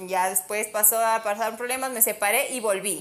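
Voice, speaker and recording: Using an ordinary speaking voice, a woman talks at a fairly high pitch with ordinary pitch variation. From Ecuador, Ambato. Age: 30s. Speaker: model and sales executive. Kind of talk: casual chat.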